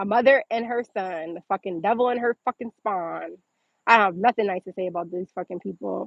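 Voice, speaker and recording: An animated woman talks at a fairly quick pace and medium pitch, with ordinary pitch variation. Her loudness swings widely. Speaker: entrepreneur livestreamer. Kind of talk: casual livestream chat reading comments. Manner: fast.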